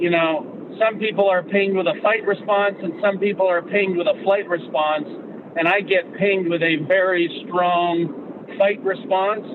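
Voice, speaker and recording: Over noticeable background noise, a man with a high pitch talks at a moderate pace, his intonation fairly even and his loudness very even. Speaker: podcast co-host. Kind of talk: casual discussion on a live call. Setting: call. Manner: intense, with an edge. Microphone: poor connection.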